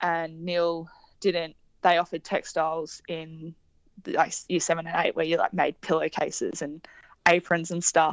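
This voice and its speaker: A moderate pace in an Australian accent, with monotone, flat intonation. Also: woman, fairly low pitch for a woman. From rural Victoria, Australia. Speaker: Olympic rower. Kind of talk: interview. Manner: casual, many fillers.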